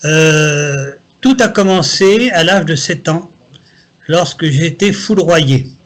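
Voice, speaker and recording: Speaking very slowly at a very even loudness, a man with a high pitch leaves long, frequent pauses. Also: ordinary pitch variation. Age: 70s. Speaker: psychic. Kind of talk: interview.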